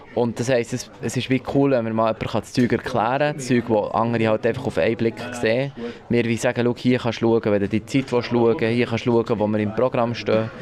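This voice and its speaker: Over noticeable background noise, a man at medium pitch talks at a fairly quick pace in a monotone, flat intonation. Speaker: radio producer, visually impaired. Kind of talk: interview at the workplace. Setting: newsroom. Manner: hesitant, many fillers.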